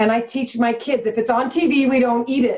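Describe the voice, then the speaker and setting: A plain, everyday voice from a woman at a moderate pace. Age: 40s. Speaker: health coach. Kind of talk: interview.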